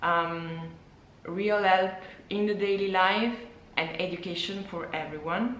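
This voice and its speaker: A woman with an Italian accent speaks at a medium pitch with fairly even intonation and long, frequent pauses, over noticeable background noise and audible room echo. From Italy. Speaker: illustrator and former physicist, vlogger. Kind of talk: personal vlog monologue. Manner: halting, with repetitions and fillers.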